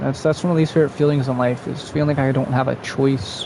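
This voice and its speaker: Speech comes at a very fast pace with fairly even intonation. Noticeable background noise can be heard. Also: man. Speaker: streamer. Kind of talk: casual live-stream chat while gaming. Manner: rambling, run-on speech; halting, with stutters and fillers.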